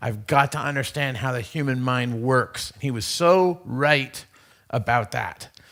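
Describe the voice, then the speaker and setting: Loud and slow-paced, a man with an American accent speaks in a bright, sharp tone on a very clean recording with a silent background. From USA. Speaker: conference speaker. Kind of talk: conference talk. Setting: stage with audience. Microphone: too loud on new microphone.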